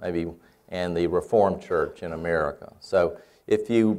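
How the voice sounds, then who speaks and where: A man is talking here. His accent is Southern US. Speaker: church researcher and lecturer. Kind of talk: lecture. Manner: halting with frequent fillers.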